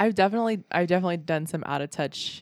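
This is an unremarkable speaking voice, a woman's, fairly low in pitch with ordinary pitch variation and a fairly quick pace. The recording is very clean with a silent background. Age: 20s. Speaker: stand-up comedian. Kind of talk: casual chat.

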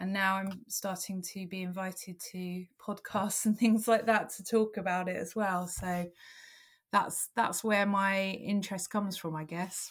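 A woman's somewhat breathy, medium-pitched voice moves at a fairly slow pace with monotone, flat intonation and big swings in loudness, in a very clean recording with a silent background. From London. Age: 40s. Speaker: paranormal blogger. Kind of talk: interview. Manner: hesitant, many fillers.

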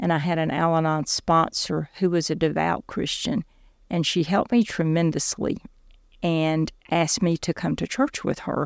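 A woman with a Southern US accent at a moderate pace, in a dry, close sound with no echo, on a very clean recording with a silent background. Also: fairly low pitch for a woman, ordinary pitch variation. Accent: Southern US (Georgia). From US South, South Georgia. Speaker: faith testimony guest, former medical office worker. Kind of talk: personal testimony.

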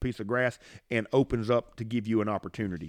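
Over a quiet background, a man speaks fairly quickly in a Southern US accent. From US South, Mississippi. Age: 50s. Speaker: podcast host, bowhunter. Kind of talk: casual chat. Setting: home studio with dog barking. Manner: casual, rambling.

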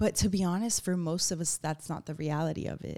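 In a very clean recording with a silent background, a woman uses an ordinary speaking voice, fairly low in pitch, with ordinary pitch variation. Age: 30s. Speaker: podcast host. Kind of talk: solo monologue podcast. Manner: casual, filler-heavy.

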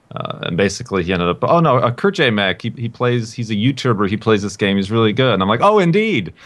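Speaking very fast with hardly any pauses, a man at medium pitch uses lively intonation over noticeable background noise. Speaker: podcast guest. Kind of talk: casual chat.

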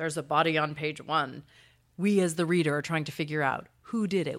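Her pitch is very deep and low for a woman, with vocal fry. She keeps fairly even intonation at a fairly quick pace. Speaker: literature professor. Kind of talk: interview answers about detective fiction.

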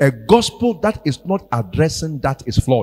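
A somewhat breathy man's voice, fairly high in pitch and dark and mellow in tone, with very wide pitch swings and a dry, close sound with no echo. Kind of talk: sermon. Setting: church. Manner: animated; exhortative.

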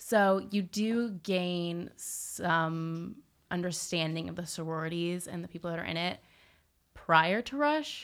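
This is a normal speaking voice with an American accent and ordinary pitch variation. The recording is very clean, with a silent background. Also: woman. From Southern California (Newport Beach). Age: young. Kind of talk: casual interview chat.

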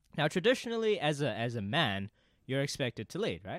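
With a New Zealand accent, a man speaks at medium pitch in a dry, close sound with no echo, on a very clean recording with a silent background. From New Zealand, Auckland. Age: 20s. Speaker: podcast guest. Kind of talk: casual chat.

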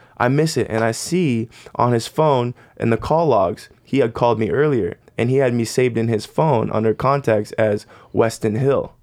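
In a plain, everyday voice with an American accent, the speech runs at a moderate pace with ordinary pitch variation and very even loudness. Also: man, medium pitch for a man. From Arizona, US. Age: 20s. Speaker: worship leader. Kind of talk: casual chat.

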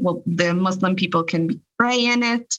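Her tone is bright and sharp as this woman speaks at a fairly slow pace with lively intonation. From Israel, Jerusalem. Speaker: peace activist. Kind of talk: interview.

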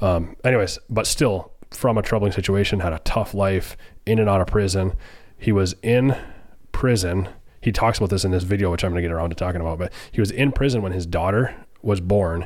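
A normal speaking voice from a man, fairly low in pitch and fairly quick, with ordinary pitch variation. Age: 20s. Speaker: podcast host. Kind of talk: casual interview chat. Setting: studio.

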